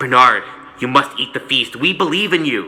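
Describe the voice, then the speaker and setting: Clear background noise sits behind a man doing a put-on character voice. His pitch is fairly high and his intonation lively. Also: moderate pace. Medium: read story.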